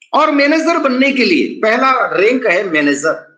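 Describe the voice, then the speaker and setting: Raised and projected, a man's voice carries a bright, sharp tone and very wide pitch swings, with audible room echo. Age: 60s. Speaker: network marketing presenter. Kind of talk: sales pitch. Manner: animated.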